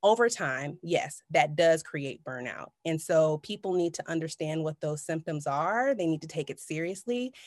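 With lively intonation and hardly any pauses, a woman in a normal speaking voice talks at a moderate pace and a fairly low pitch, the sound dry and close with no echo. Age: 40s. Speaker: neuro coach. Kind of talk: interview.

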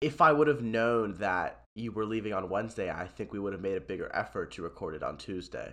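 At a fairly quick pace with hardly any pauses, a man uses an ordinary speaking voice, pitched fairly low with ordinary pitch variation, over a quiet background. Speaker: podcast host. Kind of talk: casual banter podcast chat. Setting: remote recording.

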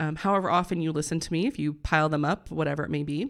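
Over a very clean, silent background, a woman with an American accent speaks very fast with vocal fry. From US Midwest (Northeast Indiana). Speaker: podcast host, health and wellness coach. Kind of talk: solo podcast monologue. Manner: casual, conversational with fillers.

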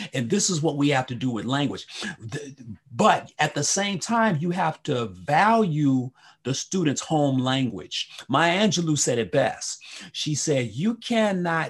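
Against a quiet background, a man with a fairly high pitch and a somewhat breathy voice talks at a very slow pace with very wide pitch swings. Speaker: associate professor and former TV host. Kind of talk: interview. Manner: high energy.

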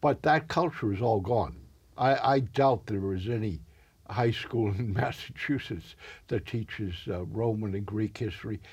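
Pitched fairly low, a man speaks at a fairly slow pace in a somewhat breathy voice on a very clean recording with a silent background. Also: ordinary pitch variation. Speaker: community TV interview host. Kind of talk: casual interview. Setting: studio.

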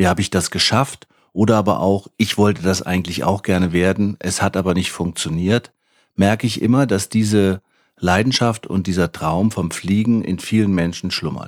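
A man with a very deep, low pitch speaks at a moderate pace with fairly even intonation. The recording is very clean, with a silent background and a dry, close sound with no echo. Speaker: pilot and flight school founder. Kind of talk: scripted podcast trailer. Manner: formal.

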